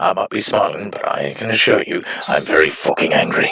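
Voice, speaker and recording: In a put-on character voice, a man speaks at an extremely high pitch. His raspy delivery moves at a fairly quick pace. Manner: cheerful tone masking anger.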